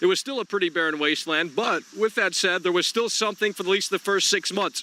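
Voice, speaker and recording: Amid noticeable background noise, a man speaks in a high, raised, projected voice. His tone is animated and his pace fairly quick. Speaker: gaming streamer. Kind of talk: live stream call-in chat. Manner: loud.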